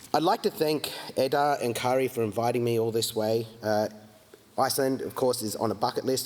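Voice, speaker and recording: Here a man speaks fairly quickly at a medium pitch with ordinary pitch variation. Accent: Australian. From Australia, Melbourne. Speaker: geologist and climate think-tank consultant. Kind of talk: conference keynote. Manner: many fillers (uh, um).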